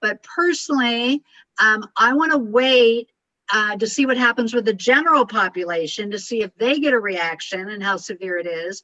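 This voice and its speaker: A woman speaks with lively intonation and a bright, sharp tone. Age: 60s. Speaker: communication and life coach. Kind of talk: coaching advice on a group call. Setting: group call. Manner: fast; intense.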